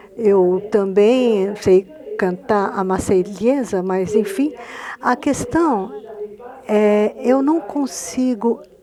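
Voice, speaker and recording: A woman speaking very slowly in a Spanish accent, medium-pitched with ordinary pitch variation, over noticeable background noise. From Argentina. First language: Spanish (speaking Portuguese). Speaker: novelist. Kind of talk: panel discussion through an interpreter.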